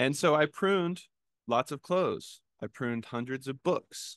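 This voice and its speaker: Lively intonation at a moderate pace, with a dry, close sound and no echo. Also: man. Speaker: spiritual writer and speaker. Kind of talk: talk to a congregation. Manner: halting; self-conscious about speaking loud.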